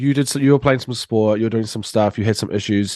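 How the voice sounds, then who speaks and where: With a New Zealand accent, a man talks at a fairly low pitch and ordinary pitch variation, captured with a dry, close sound with no echo against a quiet background. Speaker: podcast host. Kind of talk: podcast interview.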